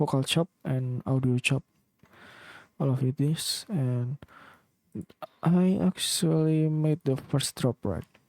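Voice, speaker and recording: A man with a non-native accent speaks very slowly at a fairly high pitch, with ordinary pitch variation and very even loudness. Long, frequent pauses break up his speech, and the sound is dry and close with no echo. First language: not English. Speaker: music producer. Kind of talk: tutorial. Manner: halting.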